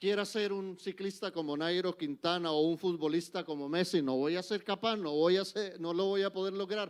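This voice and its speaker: Hardly pausing, a man with a high pitch speaks at a moderate pace with fairly even intonation over a quiet background. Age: 60s. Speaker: church speaker. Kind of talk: lecture. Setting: church.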